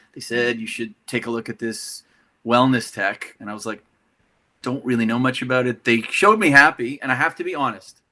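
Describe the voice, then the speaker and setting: In a very clean recording with a silent background, a man with a Canadian accent talks at a fairly quick pace in a bright, sharp, medium-pitched voice, showing ordinary pitch variation and big swings in loudness. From Canada. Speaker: tech company CEO. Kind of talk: interview.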